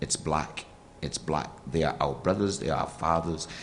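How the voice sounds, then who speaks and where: A man's very deep, low voice at a fairly quick pace. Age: 60s. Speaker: formerly incarcerated speaker and reentry trainer. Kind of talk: panel forum talk.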